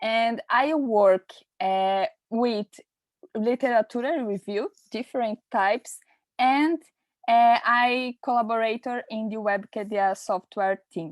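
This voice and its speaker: Speaking very slowly with a Portuguese accent, a woman with a fairly high pitch is heard on a very clean recording with a silent background. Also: ordinary pitch variation. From Brazil. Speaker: nurse and researcher. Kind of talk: presentation. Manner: halting.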